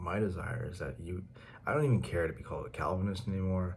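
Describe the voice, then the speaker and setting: Soft-spoken, with a very deep, low pitch and vocal fry, a man talks at a fairly quick pace with lively intonation amid audible room echo. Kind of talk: casual monologue. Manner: quiet, soft-spoken; halting, many fillers and repetitions.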